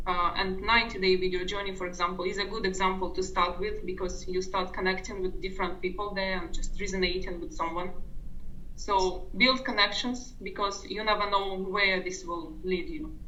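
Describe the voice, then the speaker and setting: Noticeable background noise and audible room echo accompany a woman with a non-native accent who speaks at a moderate pace and medium pitch with fairly even intonation. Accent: foreign. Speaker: online business coaching member. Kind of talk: interview.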